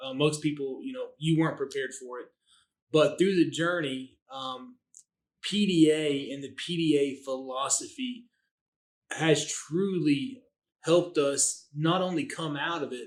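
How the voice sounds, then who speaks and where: A man with a slight Southern US accent, fairly high pitch, a fairly slow pace and big swings in loudness. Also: ordinary pitch variation. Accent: slight Southern twang. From US South. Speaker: dentist, practice owner. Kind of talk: podcast interview. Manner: casual, hesitant fillers.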